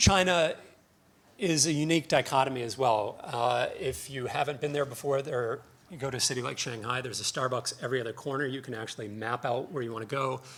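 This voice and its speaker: A very fast North American accent from a man at medium pitch, with ordinary pitch variation. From North America (US/Canada). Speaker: conference speaker, financial research analyst. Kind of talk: conference presentation. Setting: conference stage with audience. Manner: casual, hesitant with fillers.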